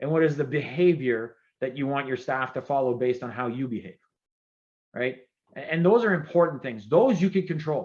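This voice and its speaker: Animated in tone, a man with a French-Canadian accent talks at a fairly quick pace in a fairly high voice with lively intonation. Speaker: former government CIO, keynote speaker. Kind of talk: keynote speech. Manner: fast.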